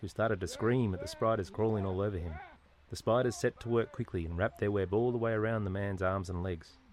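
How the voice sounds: This is a natural reading voice. It reads throughout.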